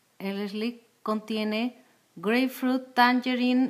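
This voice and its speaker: With a quiet background, a woman talks using ordinary pitch variation. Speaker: essential oil distributor. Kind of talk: cooking demonstration with product promotion, casual talk to camera. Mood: calm, friendly. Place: kitchen. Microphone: phone near.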